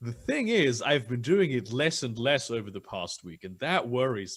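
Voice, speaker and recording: A man of medium pitch at a moderate pace, with very wide pitch swings and big swings in loudness. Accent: British. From Germany. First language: German. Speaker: guest. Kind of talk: casual chat.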